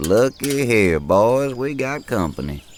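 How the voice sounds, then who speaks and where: Putting on a gruff character voice, a man speaks fairly slowly at a medium pitch with very wide pitch swings. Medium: audio drama. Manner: gruff, teasing.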